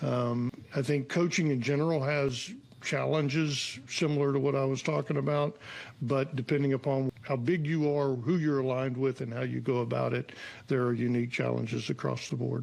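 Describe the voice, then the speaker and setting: Against noticeable background noise, a man speaks at a moderate pace with a medium pitch and fairly even intonation. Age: 60s. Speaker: executive coach and entrepreneur. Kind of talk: interview conversation. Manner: hesitant, many fillers and repetitions.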